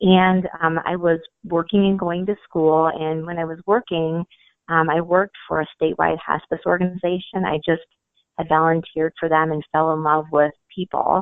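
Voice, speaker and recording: A woman with a fairly low pitch speaks at a moderate pace in a flat monotone. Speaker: marketing director. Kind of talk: interview answer.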